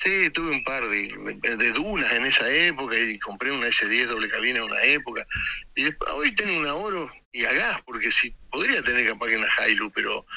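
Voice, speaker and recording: A man's voice comes through with noticeable background noise around it. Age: 60s. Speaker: boat ramp owner, caller. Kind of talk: casual chat.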